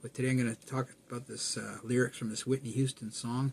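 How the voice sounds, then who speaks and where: Somewhat breathy and monotone, a man talks at a fairly quick pace with medium pitch and flat intonation. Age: 60s. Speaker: spiritual video blogger. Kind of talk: casual monologue. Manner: plain-spoken; halting.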